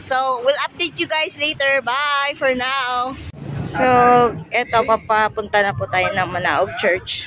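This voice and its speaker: Very slowly, a woman projects a raised, high-pitched voice over noticeable background noise. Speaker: travel vlogger. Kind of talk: casual vlog narration. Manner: hesitant, filler-heavy.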